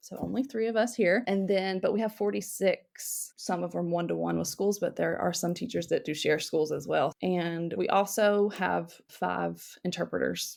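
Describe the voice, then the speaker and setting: A woman speaks with a Southern US accent in a very clean recording with a silent background. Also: moderate pace, hardly any pauses. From North Carolina, Cabarrus County. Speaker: school district instructional specialist. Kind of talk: podcast interview.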